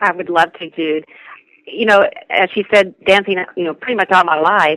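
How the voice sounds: A woman speaks at a moderate pace in a fairly low, fairly bright voice with ordinary pitch variation, in a dry, close sound with no echo.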